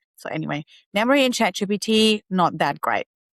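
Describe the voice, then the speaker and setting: A woman with a non-native accent, fairly quick and lively in intonation, on a very clean recording with a silent background and a dry, close sound with no echo. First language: not English. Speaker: tech YouTuber and AI educator. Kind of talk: tutorial. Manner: casual, conversational.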